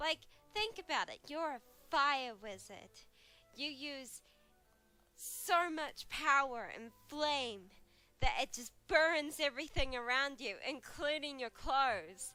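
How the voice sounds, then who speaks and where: Music plays in the background as a woman speaks at a very slow pace. Her pitch is high. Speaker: digital artist. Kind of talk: casual talk over drawing video. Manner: quiet; hesitant, many fillers.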